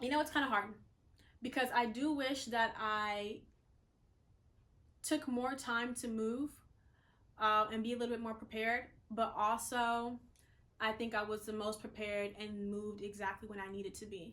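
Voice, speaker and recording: Her tone is bright and sharp, with fairly even intonation at a moderate pace. This woman leaves long, frequent pauses. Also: fairly high pitch for a woman. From the Carolinas, US South. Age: 20s. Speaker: vlogger and model. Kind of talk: casual vlog talk to camera. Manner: filler-heavy, conversational.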